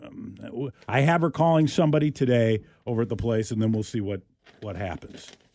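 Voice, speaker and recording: In a very clean recording with a silent background, a man speaks at a medium pitch with a dark, mellow tone. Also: long, frequent pauses. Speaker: radio host. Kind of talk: casual chat. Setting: studio. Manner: halting.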